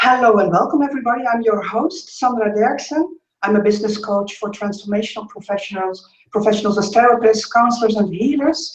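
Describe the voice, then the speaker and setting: A woman with a Dutch accent speaks at a fairly quick pace, her pitch varying in an ordinary way. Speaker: business coach and interview host. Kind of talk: interview introduction. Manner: enthusiastic.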